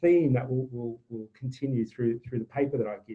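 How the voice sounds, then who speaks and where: A man speaks with an Australian accent. His pace is very fast. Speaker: climate change advisor. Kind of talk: webinar presentation. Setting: video call. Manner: halting, many fillers.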